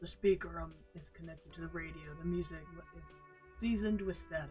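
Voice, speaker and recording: Clear music plays in the background as a man talks. He uses a put-on character voice at a fairly quick pace. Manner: authoritative, deadpan.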